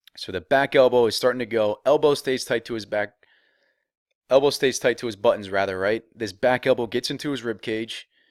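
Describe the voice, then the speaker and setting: Speaking at a fairly quick pace in an animated tone, a man with a medium-pitched voice comes through on a very clean recording with a silent background and a dry, close sound with no echo. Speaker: baseball hitting coach. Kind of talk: tutorial. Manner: fast.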